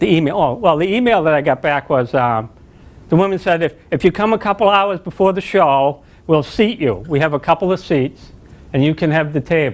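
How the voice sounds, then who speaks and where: A man with a plain, everyday voice speaks at a fairly high pitch and a fairly quick pace. His intonation is lively, and his loudness stays very even. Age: 60s. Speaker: spiritual teacher. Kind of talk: spiritual talk.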